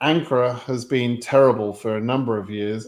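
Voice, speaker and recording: Here a man with an English accent speaks at a moderate pace, his pitch medium with ordinary variation. The recording is very clean, with a silent background. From England. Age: 60s. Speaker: immigration advice streamer. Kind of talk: live Q&A stream. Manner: hesitant, many fillers.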